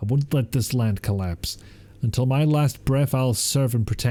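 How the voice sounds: Pitch moves in an ordinary way through this natural reading voice.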